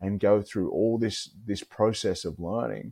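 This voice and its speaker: With an Australian accent, a man speaks in a very deep, low pitch and a dark, mellow tone, at a fairly slow pace with fairly even intonation. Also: dry, close sound with no echo. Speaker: mental health advocate, former pro rugby player. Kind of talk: casual interview chat. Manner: repetitive, halting.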